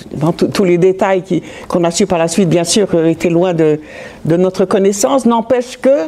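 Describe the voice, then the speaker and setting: A woman speaks at a moderate pace in a medium pitch, with ordinary pitch variation and very even loudness, over noticeable background noise. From France (Metz, Lorraine). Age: 70s. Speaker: Holocaust survivor. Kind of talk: testimony. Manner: halting.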